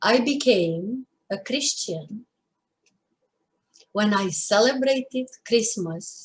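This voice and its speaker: With a Romanian accent, a woman speaks at a very slow pace and a fairly high pitch. She sounds somewhat breathy, with lively intonation. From Romania, Bucharest. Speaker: poet. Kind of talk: poetry reading.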